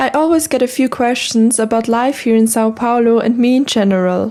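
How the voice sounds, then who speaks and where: A woman's fairly high voice moves at a moderate pace, with noticeable background noise behind it. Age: 20s; young. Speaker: vlogger. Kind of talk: Q&A vlog.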